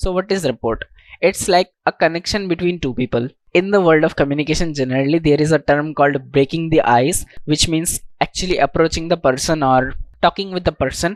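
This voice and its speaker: A man with an Indian accent speaks at a fairly quick pace in a fairly high pitch, with ordinary pitch variation and a dry, close sound with no echo. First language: Indian language, not English. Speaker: self-improvement YouTuber. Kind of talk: tutorial talk to camera.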